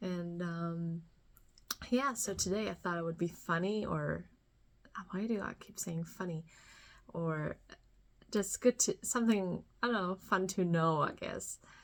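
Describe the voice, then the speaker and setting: Pitch varies in an ordinary way on this very clean recording, where the background is silent. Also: woman. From Germany. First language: German. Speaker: podcast host. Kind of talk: solo podcast monologue. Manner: halting, many fillers.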